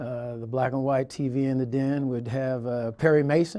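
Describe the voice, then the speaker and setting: A man of medium pitch has a dark, mellow tone and a monotone, flat intonation. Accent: American. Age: 60s. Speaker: university athletic director and lawyer. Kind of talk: interview. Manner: halting, many filler uhs.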